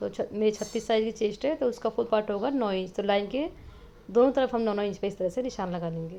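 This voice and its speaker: Her voice is fairly high in pitch, with a dark, mellow tone. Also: ordinary pitch variation. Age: 30s. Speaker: sewing teacher. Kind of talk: tutorial.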